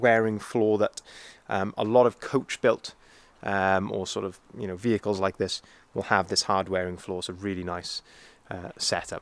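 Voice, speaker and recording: An unremarkable speaking voice from a man, fairly low in pitch, at a moderate pace with fairly even intonation and a dry sound with no echo. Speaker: vehicle sales manager. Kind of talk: walkaround product review. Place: street. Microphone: phone near.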